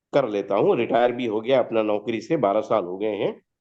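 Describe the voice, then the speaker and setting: A man's dark, mellow tone at a moderate pace. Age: 70s. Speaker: retiree asking for health guidance. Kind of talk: testimony. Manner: halting.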